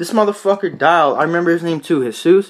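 A fairly quick-paced male voice. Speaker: vlogger. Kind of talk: casual vlog chat. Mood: joking, amused storytelling. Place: home room. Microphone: phone near.

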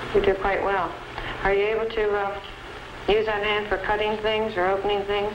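Noticeable background noise accompanies a woman speaking at a moderate pace in a monotone, flat intonation. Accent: American. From Philadelphia area, US. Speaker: flight nurse. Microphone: old recording.

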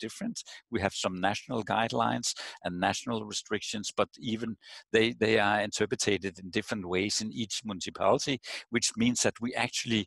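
Fairly quick speech with vocal fry sounds dry and echo-free over a quiet background. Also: man, fairly low pitch for a man, fairly even intonation. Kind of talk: video call discussion answer. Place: home room. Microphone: headset.

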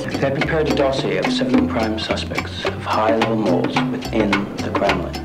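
The speech moves at a moderate pace. Loud background noise fills the recording. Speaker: spy film character. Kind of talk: low-budget spy thriller film dialogue. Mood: serious, conspiratorial. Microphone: old recording.

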